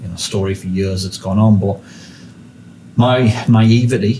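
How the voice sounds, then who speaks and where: A man with a northeast English accent, fairly low in pitch, with fairly even intonation at a moderate pace. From northeast England. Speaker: podcast host. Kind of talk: casual interview chat.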